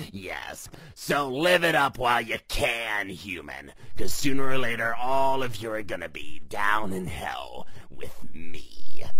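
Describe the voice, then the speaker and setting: In a raspy, cartoonish character voice, a man speaks at a medium pitch and a fairly slow pace. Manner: sarcastic, dismissive.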